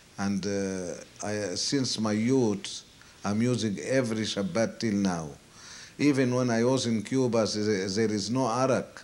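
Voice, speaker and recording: Audible room echo surrounds the voice. It moves at a fairly slow pace with ordinary pitch variation. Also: man, medium pitch for a man. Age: 70s. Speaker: elderly man recounting his life story. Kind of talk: oral history interview. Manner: halting, many hesitations.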